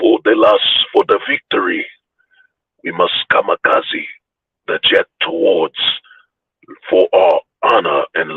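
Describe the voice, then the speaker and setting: A man puts on a character voice at an extremely high pitch. He goes at a fairly slow pace with long, frequent pauses. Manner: solemn, dramatic, honor-bound.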